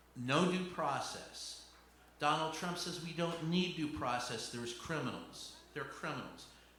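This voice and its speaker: A man with an American accent, fairly high in pitch and with ordinary pitch variation, at a fairly slow pace amid audible room echo and noticeable background noise. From Louisville, Kentucky, US South. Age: 60s. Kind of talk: stand-up. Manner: animated.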